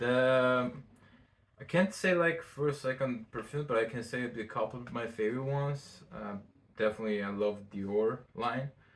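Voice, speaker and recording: With a non-native accent, a man talks at a moderate pace and medium pitch, with ordinary pitch variation. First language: not English. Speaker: fashion designer. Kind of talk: casual interview chat. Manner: halting.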